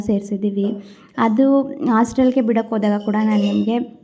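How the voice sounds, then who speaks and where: Fairly even in intonation, this voice carries a dark, mellow tone. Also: woman. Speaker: family vlogger. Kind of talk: vlog voice-over. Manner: loud. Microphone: no external mic, phone recording.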